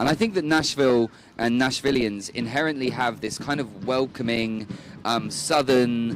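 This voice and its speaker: With noticeable background noise behind him, a man speaks at a medium pitch and a moderate pace with ordinary pitch variation. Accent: British. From United Kingdom. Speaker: refugee charity volunteer manager. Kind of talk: interview.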